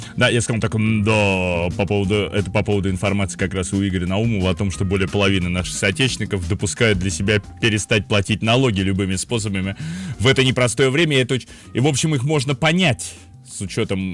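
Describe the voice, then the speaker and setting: Over clear music in the background, a man talks at a very fast pace with a fairly low pitch and ordinary pitch variation. The sound is dry with no echo. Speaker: radio host. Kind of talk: radio commentary. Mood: ironic, conversational. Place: studio. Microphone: studio mic.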